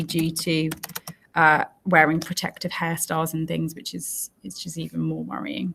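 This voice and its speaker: With an English accent, a woman speaks at a moderate pace in a fairly low pitch. Vocal fry runs through her voice. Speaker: teacher. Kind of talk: tutorial.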